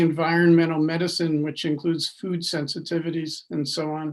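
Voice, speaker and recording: This man talks at a fairly high pitch. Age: 70s. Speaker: physician and author. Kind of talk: interview. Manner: conversational.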